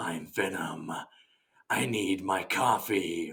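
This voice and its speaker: In a put-on character voice, a man speaks raspy and very deep at a very slow pace. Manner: silly, mocking.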